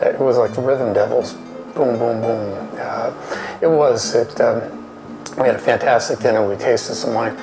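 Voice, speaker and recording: At a moderate pace, a man speaks while clear music plays behind him. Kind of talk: interview answer. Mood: fond, reminiscing. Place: bar.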